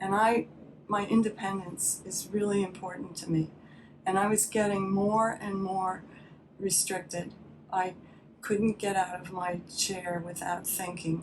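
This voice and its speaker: A woman's monotone, flat intonation comes through noticeable background noise. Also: medium pitch for a woman, fairly slow pace. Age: 70s. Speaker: patient giving testimonial. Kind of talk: testimony. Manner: halting.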